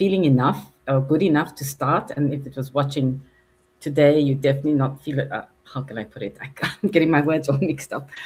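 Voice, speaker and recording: The woman's voice sits at a very deep, low pitch. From Africa. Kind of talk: casual chat. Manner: halting.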